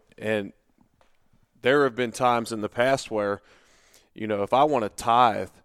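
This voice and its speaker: The recording is very clean, with a silent background and a dry, close sound with no echo. A man speaks at a moderate pace and medium pitch. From Cincinnati, Ohio, US. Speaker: podcast host, former NFL player. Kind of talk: casual podcast interview.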